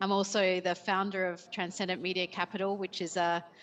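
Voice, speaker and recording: In an Australian accent, a woman talks at a medium pitch. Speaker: company CEO. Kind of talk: panel introduction. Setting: remote call.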